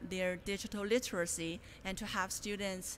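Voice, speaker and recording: Speaking with a Chinese accent, a woman keeps a medium pitch and a moderate pace. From China. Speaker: graduate student presenter. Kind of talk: conference presentation. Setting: conference room with audience. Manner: hesitant, many fillers.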